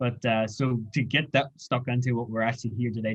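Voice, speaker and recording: Somewhat breathy and at a fairly quick pace, a man with a Northern Irish accent speaks at a medium pitch with fairly even intonation. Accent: Derry. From Northern Ireland, Derry. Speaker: graduate research student. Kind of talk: interview chat.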